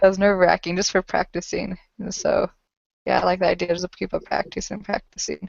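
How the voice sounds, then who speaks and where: A woman speaks at a very fast pace. Her loudness swings widely. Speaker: student. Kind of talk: online group meeting. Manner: uses filler word like.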